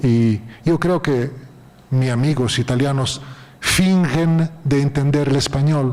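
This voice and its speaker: A man with a fairly high pitch speaks at a very slow pace, his intonation fairly even and his loudness very even. Noticeable background noise runs underneath. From Italy, Rome. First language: Italian (speaking Spanish). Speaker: literary critic. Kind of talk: lecture. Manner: halting.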